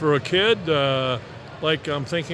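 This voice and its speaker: Noticeable background noise sits behind the voice. A man speaks at a moderate pace. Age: 70s. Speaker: aviation business owner. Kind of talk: live interview. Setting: trade show floor.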